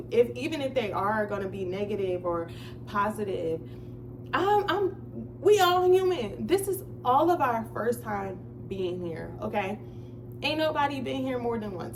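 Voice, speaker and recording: A woman talks at a moderate pace, and audible echo fills the room around her. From New Jersey. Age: 20s. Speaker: vlogger. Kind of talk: casual chat. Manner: stutters sometimes.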